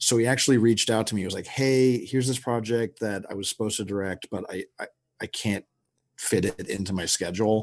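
A man with an American accent talks at a very fast pace and a medium pitch. His intonation is fairly even, against a quiet background. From Texas. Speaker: film director. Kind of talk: casual interview.

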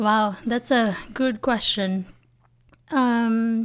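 In a very clean recording with a silent background, a woman with a Filipino accent speaks at a fairly high pitch with fairly even intonation. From Philippines. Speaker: business founder and CEO. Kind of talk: interview.

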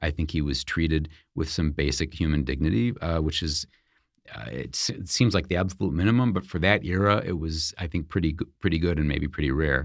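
A man talks fairly quickly in a very deep, low pitch with vocal fry. His pitch variation is ordinary. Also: very clean recording, silent background. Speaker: author and biographer. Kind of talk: interview. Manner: halting.

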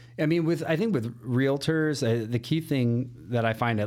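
A man with a Chicago accent talks at a moderate pace with ordinary pitch variation. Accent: Chicago-area American. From northern Illinois, Elgin. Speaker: mortgage loan officer. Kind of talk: casual interview chat.

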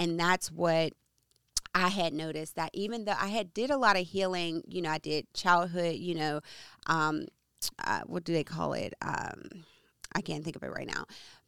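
In a dry, close sound with no echo on a very clean recording with a silent background, a woman speaks at a fairly low pitch and moderate pace, her intonation fairly even and her pauses long and frequent. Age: 30s. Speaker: podcast host, entrepreneur and mother. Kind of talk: casual faith conversation.

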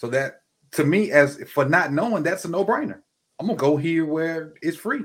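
Moderate in pace, a man talks in a high pitch with a Mississippi accent. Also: lively intonation. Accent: US Southern (Mississippi). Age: 40s. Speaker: football coach and teacher. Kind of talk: casual chat.

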